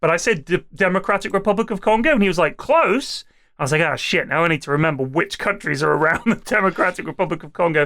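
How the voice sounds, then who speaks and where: Speaking very fast with an English accent, a man with a high pitch and a bright, sharp tone shows ordinary pitch variation on a very clean recording with a silent background. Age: middle-aged. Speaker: comedy podcast host. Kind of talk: casual chat.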